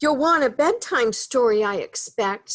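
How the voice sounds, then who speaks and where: Using a put-on character voice, a woman speaks high with very wide pitch swings at a moderate pace. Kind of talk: bedtime story. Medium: read story. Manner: gruff, grumbly.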